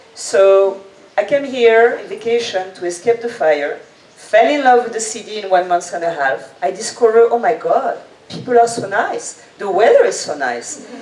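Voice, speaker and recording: With a French accent, the speaker keeps a moderate pace and lively intonation. Loudness swings widely over noticeable background noise. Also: woman. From French-speaking, Reunion island. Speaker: event guide creator, entrepreneur. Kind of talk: presentation talk. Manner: energetic.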